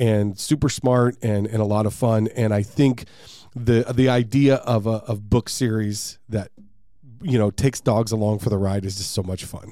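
A man at a medium pitch with a dark, mellow tone and a moderate pace. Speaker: podcast host. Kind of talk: casual interview. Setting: studio. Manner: upbeat, friendly.

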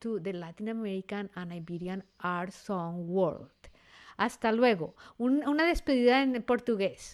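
A woman speaks at a fairly slow pace in a normal speaking voice of medium pitch with lively intonation. The recording is very clean, with a silent background. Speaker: podcast host and classical singer. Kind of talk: interview conversation.

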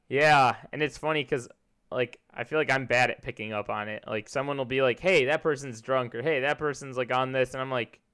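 An ordinary speaking voice with an American accent, recorded very cleanly over a silent background. It moves at a moderate pace with fairly even intonation. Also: man. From US Midwest, Chicago area. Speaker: podcast host. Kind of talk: casual chat.

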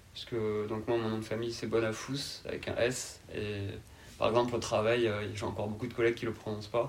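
In a room with audible echo, a man speaks at a fairly quick pace in a flat monotone. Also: medium pitch for a man. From southern France, Carcassonne (Aude, Occitanie). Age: 20s. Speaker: podcast guest. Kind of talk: interview. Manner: calm.

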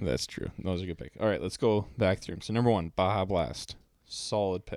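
A man with an Upper Midwest accent, his very deep, low voice showing ordinary pitch variation at a moderate pace. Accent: Upper Midwest American. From Minnesota. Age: 20s. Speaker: podcast co-host. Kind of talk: casual chat.

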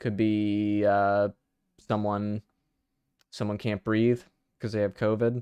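A man speaks in a flat monotone at a fairly low pitch, with long, frequent pauses. The sound is dry and close, without echo. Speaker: podcast co-host. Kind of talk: casual comedic chat.

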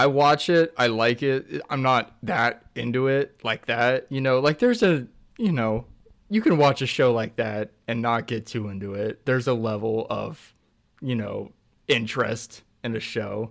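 In a very clean recording with a silent background, a man with an ordinary speaking voice and medium pitch talks at a fairly slow pace with ordinary pitch variation. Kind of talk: casual chat.

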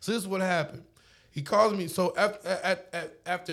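With an American accent, a man is speaking. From Oklahoma, Lawton. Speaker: DJ. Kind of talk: casual chat. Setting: home studio.

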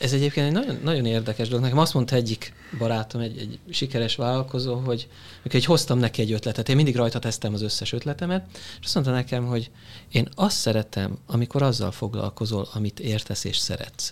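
On a very clean recording with a silent background, a man talks at a very fast pace with ordinary pitch variation. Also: medium pitch for a man. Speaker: business consultant. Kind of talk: panel discussion.

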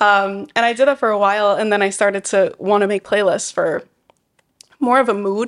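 At a fairly quick pace, a woman of medium pitch speaks with fairly even intonation. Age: 20s. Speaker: podcast co-host. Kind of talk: casual chat.

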